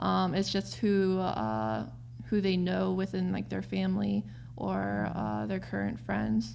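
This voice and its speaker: With audible room echo, a woman speaks at a very slow pace in an American accent. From US, Korean-American home. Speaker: interview guest. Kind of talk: casual interview. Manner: hesitant, many fillers.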